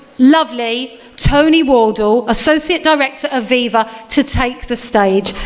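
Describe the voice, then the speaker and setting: With an Essex accent, a woman speaks high and fairly slowly over noticeable background noise. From England, Essex. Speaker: event compere. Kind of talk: live event hosting. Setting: stage with audience. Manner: animated.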